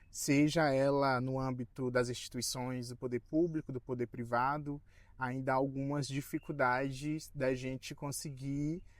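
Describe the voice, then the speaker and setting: Over a silent background in a very clean recording, a man talks at a fairly slow pace with monotone, flat intonation. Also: medium pitch for a man. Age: 20s. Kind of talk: documentary interview. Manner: halting with fillers.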